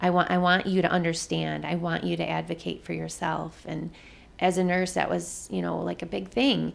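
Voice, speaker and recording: The speaker has an Upper Midwest accent and keeps a moderate pace. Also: woman. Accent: Upper Midwest American. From Michigan (Jackson). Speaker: nurse. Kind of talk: interview conversation.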